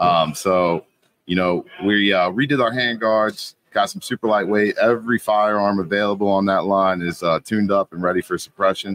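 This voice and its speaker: A man with an American accent speaks in a plain, everyday voice at a fairly low pitch. His intonation is fairly even, his pace moderate, and the sound dry and close with no echo. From Kentucky, US. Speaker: firearms company representative. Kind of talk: live podcast interview.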